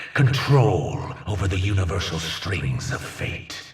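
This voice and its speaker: A put-on character voice with slight echo. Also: man. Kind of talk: villain monologue. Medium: video game. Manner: grandiose, imperious, slow.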